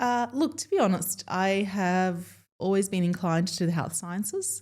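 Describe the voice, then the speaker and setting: The tone is dark and mellow, in an Australian accent. Pitch varies in an ordinary way. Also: woman. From Melbourne, Australia. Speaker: dentist. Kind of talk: podcast interview.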